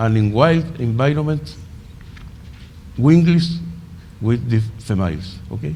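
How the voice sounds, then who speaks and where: Amid noticeable background noise and audible room echo, a man with a Spanish accent speaks at a fairly slow pace, his medium pitch making very wide swings and his speech broken by long, frequent pauses. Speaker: conference speaker, entomology researcher. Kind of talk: conference presentation. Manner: halting.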